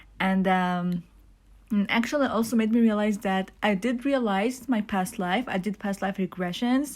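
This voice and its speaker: This woman talks at a fairly slow pace, her medium-pitched voice somewhat breathy and her intonation fairly even. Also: very clean recording, silent background. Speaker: spiritual vlogger. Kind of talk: casual monologue. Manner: halting, many fillers.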